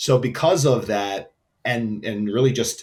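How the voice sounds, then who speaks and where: The speaker is a man with a New York accent. His pitch varies in an ordinary way. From New York City (Queens). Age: 30s. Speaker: entrepreneur, brand founder. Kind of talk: interview. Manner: casual, filler-heavy.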